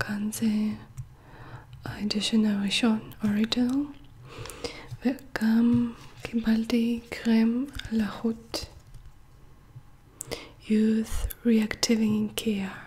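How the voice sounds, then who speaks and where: Whispering and soft-spoken, the voice moves at a very slow pace with long, frequent pauses over noticeable background noise. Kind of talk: ASMR shopping haul talk. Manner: soft-spoken or whispered.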